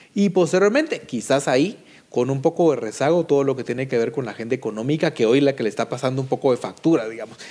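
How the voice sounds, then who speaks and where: Delivered very rapidly, this dark, mellow voice shows ordinary pitch variation. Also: man, fairly high pitch for a man. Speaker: political analyst. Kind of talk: panel debate.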